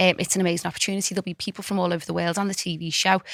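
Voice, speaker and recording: A woman at a very fast pace with a Liverpool accent, medium pitch and fairly even intonation, in a very clean recording with a silent background and a dry, close sound with no echo. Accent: Scouse. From Liverpool, England. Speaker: fashion designer. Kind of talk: podcast interview.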